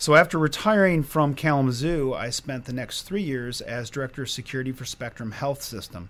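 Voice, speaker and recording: Fairly quick delivery with hardly any pauses, ordinary pitch variation and an American accent, in a very clean recording with a silent background. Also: man, fairly high pitch for a man. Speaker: hospital security director. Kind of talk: interview.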